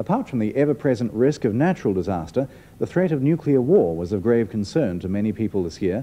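A man talking at a very fast pace, his pitch swinging very widely. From New Zealand. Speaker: news presenter. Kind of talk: 1980s TV news narration, formal and measured, read as a year-in-review voiceover. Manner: formal, authoritative, steady and brisk. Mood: serious, measured. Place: studio.

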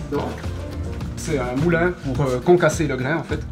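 A man talks at a moderate pace while music plays clearly behind him. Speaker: brewery guide. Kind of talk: informal explanation on a tour. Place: workshop. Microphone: camera far.

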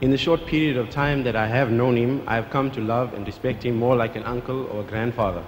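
A man talks at a very fast pace with hardly any pauses and fairly even intonation over light background noise. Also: medium pitch for a man. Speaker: event host. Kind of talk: formal introduction. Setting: stage with audience. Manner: formal. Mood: respectful, earnest. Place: hall. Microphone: podium.

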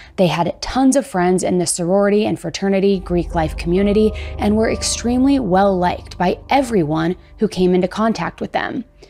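A woman is speaking with ordinary pitch variation. Faint music plays in the background. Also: fairly quick pace. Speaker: true crime narrator. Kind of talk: documentary narration. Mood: serious, somber. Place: studio. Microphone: studio mic.

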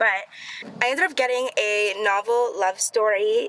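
The recording of the woman has a dry sound with no echo. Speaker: lifestyle vlogger. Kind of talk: casual vlog chat. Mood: cheerful, relaxed. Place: car. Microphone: phone near.

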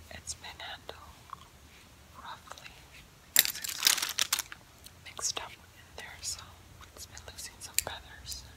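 A voice whispers in a gentle, relaxed tone at a fairly slow pace. Long, frequent pauses break up the speech. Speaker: ASMR creator. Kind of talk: ASMR rummaging video, casual talk to camera. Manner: soft-spoken, gentle, relaxed. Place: home room.

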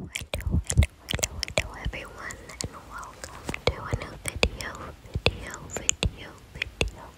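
Whispering at a fairly slow pace, the voice shows big swings in loudness over noticeable background noise. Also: woman. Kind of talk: ASMR nail art voiceover. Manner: whispered; rambling, casual.

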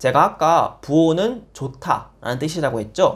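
Speaking at a moderate pace, a man with a fairly high pitch and an unremarkable speaking voice uses lively intonation. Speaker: Italian language teacher. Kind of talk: casual language lesson to camera. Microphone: lapel.

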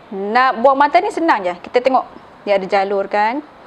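The speaker moves at a moderate pace with lively intonation. There is light background noise. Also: woman. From Sabah, Malaysia. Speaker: cooking channel host. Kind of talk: cooking tutorial. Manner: casual, frequent fillers like okey. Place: kitchen.

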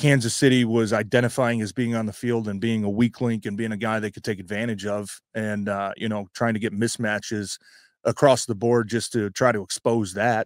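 Monotone, flat intonation at a moderate pace, dry with no echo, against a quiet background. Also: man. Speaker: former NFL player and sports show co-host. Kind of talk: casual sports talk. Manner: rambling with many fillers. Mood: upbeat, excited about the win. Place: home room. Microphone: handheld.

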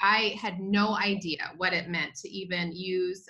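A fairly slow-paced woman with a quiet background. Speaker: presenter. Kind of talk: webinar talk. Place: home room. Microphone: video call.

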